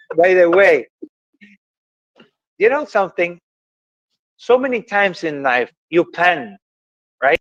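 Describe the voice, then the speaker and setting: In an Ecuadorian accent, a man with a high pitch makes very wide pitch swings and takes long, frequent pauses. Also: dry, close sound with no echo. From Ecuador (Guayaquil). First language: Spanish. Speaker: motivational podcast host. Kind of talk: casual conversation. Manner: halting.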